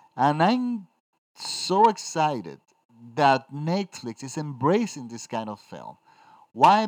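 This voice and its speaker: A man's fairly high voice in a Spanish accent, at a fairly slow pace with very wide pitch swings. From Dominican Republic. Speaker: film critic. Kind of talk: solo podcast film review. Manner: halting.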